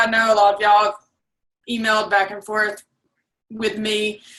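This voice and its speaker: Her tone bright and sharp, a woman speaks at a moderate pace with a fairly high pitch. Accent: Alabama. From South Alabama. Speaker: assistant. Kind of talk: casual self-introduction.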